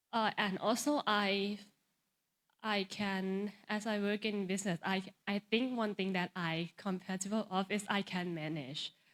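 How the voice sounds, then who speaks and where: Speaking at a fairly slow pace, a woman with a Thai accent uses a medium pitch and fairly even intonation. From Thailand. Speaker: pageant contestant. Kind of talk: interview Q&A. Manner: halting.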